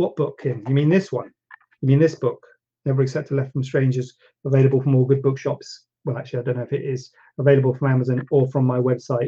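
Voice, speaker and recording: At a very fast pace, a man with a medium-pitched, somewhat breathy voice keeps his intonation fairly even. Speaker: plastic surgeon hosting a Q&A show. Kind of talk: live-streamed Q&A, casual chat. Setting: live stream on social media with green screen. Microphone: no microphone on Instagram, device audio only.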